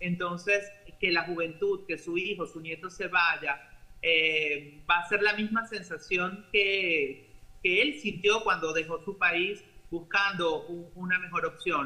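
A man's high-pitched voice, very slow, with fairly even intonation. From Venezuela. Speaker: doctor; news commentator joining remotely. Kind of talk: interview; commentary. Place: home room. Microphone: webcam.

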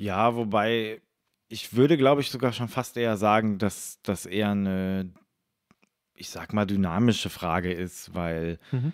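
A man with a normal speaking voice talks at a fairly slow pace in a fairly low pitch, with ordinary pitch variation and big swings in loudness, on a very clean recording with a silent background. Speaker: musician and YouTuber. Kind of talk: casual chat.

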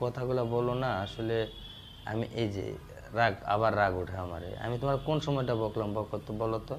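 Noticeable background noise beneath a medium-pitched male voice with ordinary pitch variation. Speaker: boyfriend on a phone call. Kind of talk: casual phone chat between lovers. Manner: loud.

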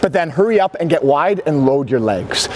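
Noticeable background noise sits behind a man's voice. He talks at a moderate pace with very wide pitch swings. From Ontario, Canada. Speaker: hockey coach. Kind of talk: on-ice coaching lesson. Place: stadium.

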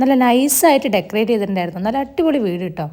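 A woman talks with lively intonation while noticeable background noise plays behind her. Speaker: family vlogger. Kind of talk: vlog narration.

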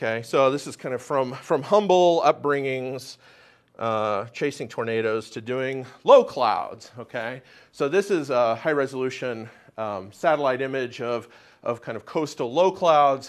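A plain, everyday voice from a man with an American accent, medium in pitch, with ordinary pitch variation, at a fairly slow pace against a quiet background. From US, Oklahoma City. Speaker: atmospheric science professor. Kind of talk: lecture. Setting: stage with audience. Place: classroom.

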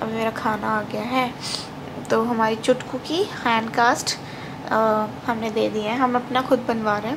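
Over noticeable background noise, a woman speaks in a tired tone with monotone, flat intonation. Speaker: new mother vlogger. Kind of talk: casual vlog chat. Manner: weak, tired post-surgery voice. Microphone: phone near.

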